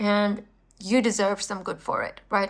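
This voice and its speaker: On a very clean recording with a silent background, a woman talks at a fairly quick pace. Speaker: tarot reader. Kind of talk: tarot card reading.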